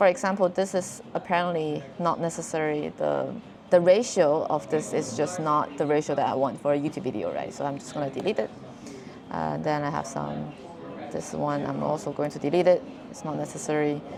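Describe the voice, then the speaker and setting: A woman with a non-native accent at a fairly quick pace, over noticeable background noise. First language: not English. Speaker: video creator. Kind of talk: tutorial. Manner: casual, halting with repeated words.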